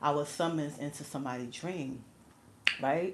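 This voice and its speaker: Noticeable background noise sits behind this voice. A woman with a New York accent speaks at a fairly quick pace. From New York City. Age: 40s. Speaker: livestreamer. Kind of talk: casual chat. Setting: livestream. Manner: casual, filler-heavy.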